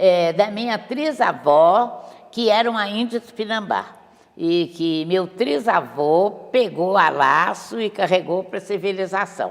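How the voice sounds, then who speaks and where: Over noticeable background noise, a woman with medium pitch speaks at a very slow pace with lively intonation. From Brazil, Minas Gerais (Montes Claros). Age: 80s+. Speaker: painter. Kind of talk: interview.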